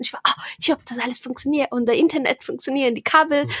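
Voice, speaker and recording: The sound is dry and close with no echo. Pitch variation is ordinary. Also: woman. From Brazil. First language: Portuguese (speaking German). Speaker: board game podcaster. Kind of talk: casual chat. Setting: video call.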